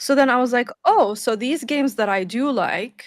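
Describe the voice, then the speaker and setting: A woman with a non-native accent speaks with lively intonation. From Lebanon. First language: not English. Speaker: YouTuber. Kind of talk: casual chat.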